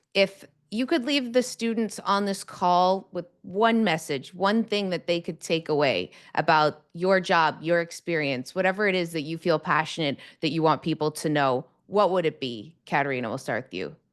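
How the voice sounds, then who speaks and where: Against a quiet background, a woman with a fairly low pitch and lively intonation talks at a moderate pace in an ordinary speaking voice. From Toronto, Canada. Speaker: TV host and reporter. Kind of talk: panel moderation.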